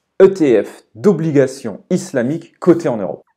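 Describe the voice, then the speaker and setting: In a very clean recording with a silent background, a man speaks very slowly in a dark, mellow tone. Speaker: entrepreneur and investment youtuber. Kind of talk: explanatory finance video commentary. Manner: hesitant, many filler sounds.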